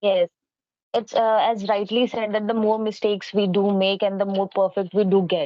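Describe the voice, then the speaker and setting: Her voice sits at a medium pitch, with an Indian accent and a monotone, flat intonation. The woman keeps a moderate pace and very even loudness. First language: Hindi. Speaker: English co-learner. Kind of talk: casual chat.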